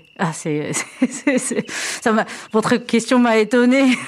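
Noticeable background noise is present. Over it, a woman talks very slowly. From Japan. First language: Japanese (speaking French). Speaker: drummer and percussionist. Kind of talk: radio interview. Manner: halting.

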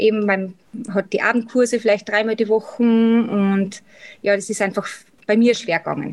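A woman speaks in an Austrian accent at a moderate pace, with long, frequent pauses. Her intonation stays monotone and flat. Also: fairly high pitch for a woman. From Austria, Salzburg. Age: 30s. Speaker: cosmetics sales rep and office worker. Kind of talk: interview.

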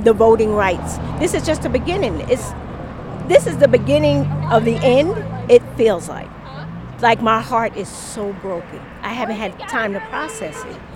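A woman's animated voice at a moderate pace, with long, frequent pauses, big swings in loudness and noticeable background noise. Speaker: podcaster and protester. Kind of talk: street interview. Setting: outdoors at a street protest.

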